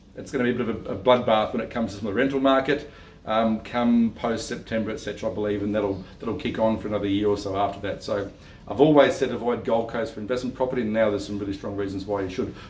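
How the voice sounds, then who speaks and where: Amid audible room echo, a man with an Australian accent talks at a very fast pace and a medium pitch. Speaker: property investment adviser. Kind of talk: video talk to camera. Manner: halting, many fillers and restarts.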